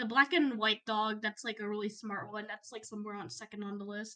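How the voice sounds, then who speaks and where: Speaking at a moderate pace, a woman has a fairly high pitch. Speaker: co-host and Twitch streamer. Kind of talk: casual chat. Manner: giggly.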